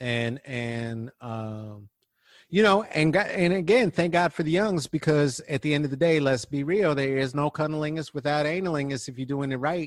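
With an ordinary speaking voice, a man talks at a fairly slow pace, his fairly high pitch carried by lively intonation. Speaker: comic, activist and guest co-host. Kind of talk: casual conversation.

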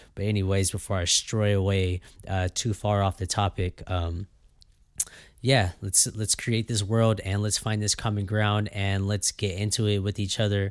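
Monotone, flat male voice at a fairly low pitch, a moderate pace and very even loudness, on a very clean recording with a silent background. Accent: Californian. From US West Coast (Fresno, California). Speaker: podcast host. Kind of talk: casual solo monologue. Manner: hesitant, many fillers and repeats.

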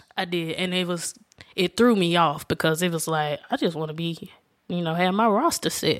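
In a Southern US accent, a woman talks at a fairly quick pace with a fairly low pitch. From Alabama. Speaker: guest, friend and cousin of host. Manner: calm, soft-spoken.

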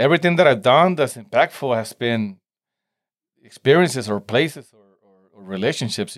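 With a Spanish accent, this man's voice shows big swings in loudness on a very clean recording with a silent background. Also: medium pitch for a man, lively intonation, moderate pace. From Mexico (Tijuana border) and San Diego. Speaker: entrepreneur and hot sauce maker. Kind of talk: casual interview chat. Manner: halting, many repetitions and fillers.

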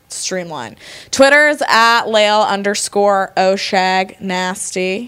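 A woman with an American accent at a very slow pace, medium-pitched with ordinary pitch variation, over noticeable background noise. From Connecticut, Fairfield County. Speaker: podcast guest. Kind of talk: casual chat over drinks.

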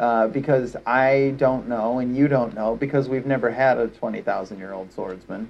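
Hardly any pauses break up this man's speech. He keeps a moderate pace with ordinary pitch variation. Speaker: podcast co-host, music buff. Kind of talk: casual chat. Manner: high energy.

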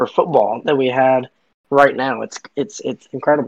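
A man speaks at a moderate pace in a medium pitch, with flat, monotone intonation and a dry, close sound that has no echo. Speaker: sports podcast co-host. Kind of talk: casual chat.

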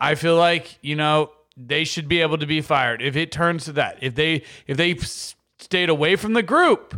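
In a very clean recording with a silent background, a man speaks at a moderate pace in a fairly high, bright and sharp voice with ordinary pitch variation. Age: 30s. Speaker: podcast co-host. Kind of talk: casual chat.

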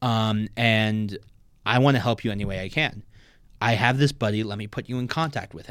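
Recorded very cleanly against a silent background, a man with an American accent talks at a fairly quick pace in an ordinary speaking voice of medium pitch, with ordinary pitch variation and big swings in loudness. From New Jersey (Maplewood). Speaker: competitive powerlifter. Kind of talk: casual chat.

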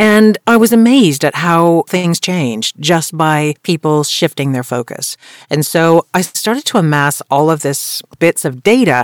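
On a very clean recording with a silent background and a dry, close sound with no echo, a woman speaks at a fairly slow pace with hardly any pauses, her fairly low pitch carrying lively intonation. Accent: American. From US, Colorado. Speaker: voice actor and voiceover coach. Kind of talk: podcast interview.

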